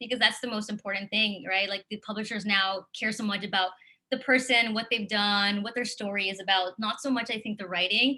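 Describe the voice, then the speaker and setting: A bright, sharp tone at a fairly quick pace with ordinary pitch variation. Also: woman. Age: 30s. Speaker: author. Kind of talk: interview. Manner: casual, many fillers.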